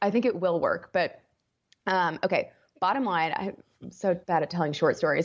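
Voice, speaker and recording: Pausing long and often, a woman talks at a moderate pace in a medium pitch with ordinary pitch variation. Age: 20s. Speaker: life coach and podcaster. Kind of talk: casual interview conversation.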